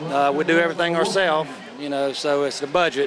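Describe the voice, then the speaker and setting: Speaking at a fairly quick pace, a man with a Southern US accent is heard over noticeable background noise. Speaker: drag racer. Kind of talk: interview. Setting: outdoors.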